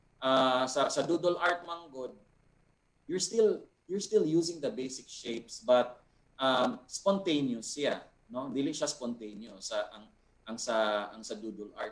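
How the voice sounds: A man talks at a medium pitch and a fairly slow pace. His pitch varies in an ordinary way.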